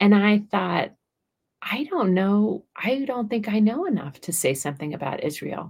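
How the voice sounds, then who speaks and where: Somewhat breathy, a woman speaks with very wide pitch swings. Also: medium pitch for a woman, moderate pace. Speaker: author and podcast host. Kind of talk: casual chat.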